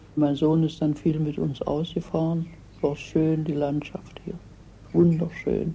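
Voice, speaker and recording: The voice is somewhat breathy with a dark, mellow tone, moving at a very slow pace in a monotone, flat delivery. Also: woman, very deep, low pitch for a woman. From Germany. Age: 80s+. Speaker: retired immigrant. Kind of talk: interview.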